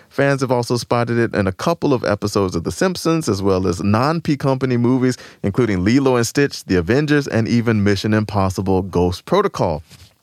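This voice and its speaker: A man talks at a fairly quick pace with hardly any pauses, lively intonation, and very even loudness in an ordinary speaking voice, recorded very cleanly against a silent background with a dry, close sound and no echo. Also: medium pitch for a man. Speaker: radio host. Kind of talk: radio show banter between co-hosts. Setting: radio studio broadcast.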